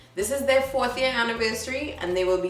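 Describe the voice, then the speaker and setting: A woman with a high pitch speaks in an upbeat tone with lively intonation. Noticeable background noise and audible room echo are present. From Trinidad and Tobago. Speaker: events vlogger. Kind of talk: event listings presentation.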